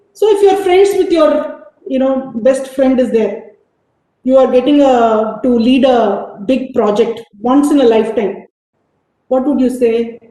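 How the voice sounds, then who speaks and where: A woman with a high pitch talks at a fairly slow pace with lively intonation, and audible room echo surrounds her voice. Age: 50s. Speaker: business executive. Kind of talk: motivational talk. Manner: animated.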